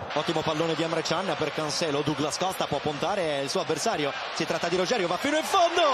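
Over noticeable background noise, a man with a high voice speaks at a very fast pace with hardly any pauses, an animated tone, ordinary pitch variation and very even loudness. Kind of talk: football match commentary. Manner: fast, animated play-by-play delivery; excitable, rising in intensity at chances and incidents.

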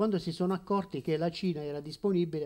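Light background noise sits behind a man with a high voice. His intonation is lively. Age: old. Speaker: retired school principal, former councillor; former councillor. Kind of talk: panel discussion; public talk on politics. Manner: halting. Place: shop. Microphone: handheld.

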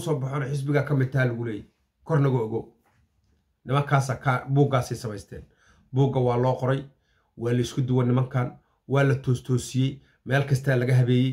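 A man speaks at a very fast pace in a somewhat breathy voice. The background is quiet. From Somalia. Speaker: political commentator. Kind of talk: political commentary. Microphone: phone near.

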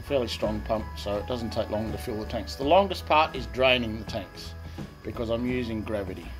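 Clear music plays behind a man who speaks at a moderate pace with a fairly low pitch. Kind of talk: tutorial. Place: home room. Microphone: phone near.

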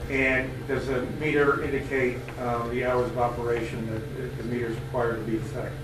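The speech moves at a moderate pace with hardly any pauses. Noticeable background noise and audible room echo are present. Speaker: prosecutor. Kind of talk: courtroom examination. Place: hall.

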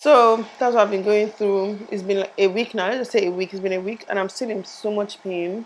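A strained woman's voice at a fairly quick pace, with fairly even intonation and light background noise. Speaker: vlogger. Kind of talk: casual vlog chat. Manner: strained, mouth barely opening, in pain. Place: home room. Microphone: lapel.

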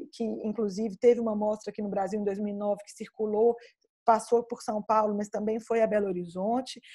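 Speaking with a strong Minas Gerais accent, a woman with a fairly high pitch and a dark, mellow tone sounds somewhat breathy at a moderate pace over a quiet background. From Minas Gerais, Brazil. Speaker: film researcher and curator. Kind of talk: online talk with Q&A. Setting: video call. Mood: reflective, engaged. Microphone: video call.

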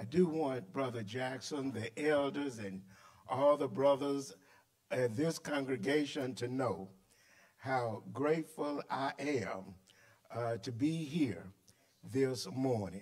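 Against a quiet background, a man talks at a very slow pace with long, frequent pauses. His pitch varies in an ordinary way. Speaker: preacher. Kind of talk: sermon in full flow, call-and-response. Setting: church. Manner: animated, emphatic, repetitive. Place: church. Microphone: podium.

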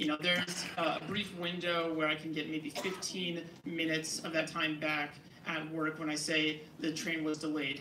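The speech has an American accent and flat, monotone intonation at a moderate pace. Noticeable background noise runs underneath. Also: man, fairly high pitch for a man. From New Jersey. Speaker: transit advocate. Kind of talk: public hearing testimony. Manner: halting, many fillers.

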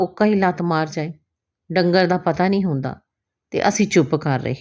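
A woman with a normal speaking voice talks in a fairly low pitch, her pitch varying in an ordinary way. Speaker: Punjabi teacher, former radio anchor. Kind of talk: short story reading.

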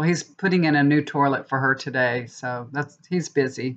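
A woman's very deep, low voice against a quiet background. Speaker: tarot reader vlogger. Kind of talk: casual vlog chat. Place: home room. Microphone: webcam.

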